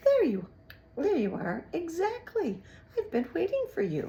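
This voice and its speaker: Putting on a character voice, a woman speaks at a moderate pace in an extremely high, squeaky pitch. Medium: read story. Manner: oily, slow and mockingly polite.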